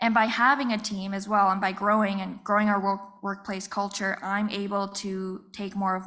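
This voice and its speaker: At a moderate pace, a woman speaks at medium pitch with a bright, sharp tone. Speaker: small business owner. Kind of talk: panel talk. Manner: soft-spoken; quiet.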